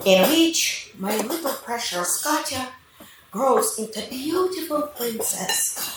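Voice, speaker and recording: Speaking very slowly, a woman with a high voice swings her pitch very widely over noticeable background noise and audible room echo. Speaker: mother of the bride. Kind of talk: wedding speech.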